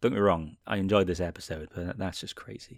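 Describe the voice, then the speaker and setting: In a very clean recording with a silent background, a man with a Welsh accent speaks very fast in a very deep, low voice. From Wales. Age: 30s. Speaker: podcast host, TV and film reviewer. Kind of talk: solo podcast monologue.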